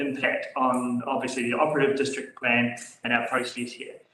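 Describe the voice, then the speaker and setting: A man talks at a fairly quick pace with a New Zealand accent and fairly even intonation. Room echo is audible, and background noise is noticeable. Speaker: council staff member. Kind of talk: council meeting briefing. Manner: loud.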